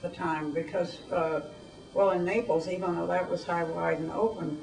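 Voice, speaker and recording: A woman's voice amid noticeable background noise. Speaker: war veteran. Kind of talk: interview answer. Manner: hesitant, reminiscing.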